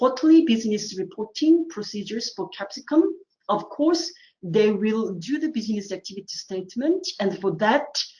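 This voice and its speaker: Her voice is fairly high, somewhat breathy, and dark and mellow in tone, swinging very widely in pitch. The woman speaks at a moderate pace. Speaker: assessor running a training webinar. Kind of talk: tutorial webinar. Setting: online webinar with screen share.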